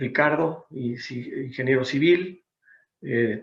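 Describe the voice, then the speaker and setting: Fairly even intonation in a Mexican accent. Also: man. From Mexico City. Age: 60s. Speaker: business consultant. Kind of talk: seminar presentation. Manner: hesitant with fillers.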